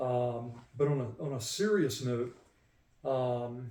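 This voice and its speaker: An American accent comes with a somewhat breathy quality. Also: man. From southern USA. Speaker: retired Air Force sergeant and veteran. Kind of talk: casual interview answers recounting life and family history.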